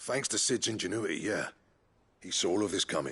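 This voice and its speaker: A raspy put-on character voice from a man, fairly low in pitch, at a fairly quick pace. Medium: video game.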